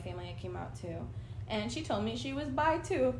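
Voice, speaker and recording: Audible room echo and noticeable background noise surround a woman talking at a fairly quick pace. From Argentina. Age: 20s. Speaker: nonprofit advocate. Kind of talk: casual interview.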